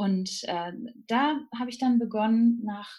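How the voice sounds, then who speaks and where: Breathiness runs somewhat through the voice. Pitch variation is ordinary. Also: woman. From Germany, Münsterland. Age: 30s. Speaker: nutrition counselor. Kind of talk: interview. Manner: hesitant with many fillers.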